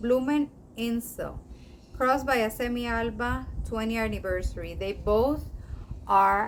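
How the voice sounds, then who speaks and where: Speaking at a fairly slow pace, a woman talks with a Spanish accent. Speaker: orchid collector, video creator. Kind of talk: casual show-and-tell vlog. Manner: halting, with fillers.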